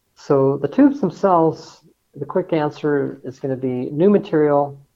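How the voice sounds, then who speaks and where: With an ordinary speaking voice and an American accent, a man talks at a moderate pace and a fairly high pitch, with ordinary pitch variation. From Colorado, US. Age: 60s. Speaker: engineer and transportation research advocate. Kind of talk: interview.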